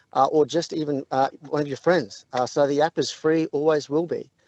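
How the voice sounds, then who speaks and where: The speaker talks at a fairly quick pace with an Australian accent and monotone, flat intonation. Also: man. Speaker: app co-founder. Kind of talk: radio interview.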